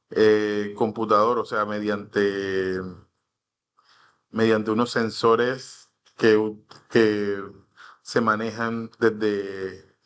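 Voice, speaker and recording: The speaker goes very slowly with long, frequent pauses and monotone, flat intonation, and the room echo is audible. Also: man, fairly low pitch for a man. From Colombia, Caribbean coast (Cartagena). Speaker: instructor. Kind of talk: online class lecture. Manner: halting, many fillers.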